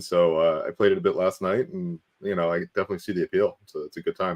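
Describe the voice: Speaking quickly, a man shows ordinary pitch variation.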